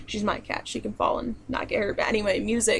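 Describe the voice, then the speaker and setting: At a moderate pace, a woman with an American accent speaks over noticeable background noise. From southern New York, family in central Pennsylvania. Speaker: video blogger. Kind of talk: casual Q&A vlog. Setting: home, own room. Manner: casual, with many fillers.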